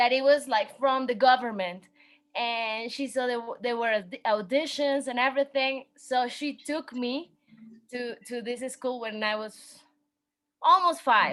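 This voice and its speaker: Speaking at a very slow pace, a woman with a Spanish accent has a high pitch and ordinary pitch variation. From Mexico City. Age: 20s. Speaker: dancer and fashion designer. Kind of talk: interview. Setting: video call.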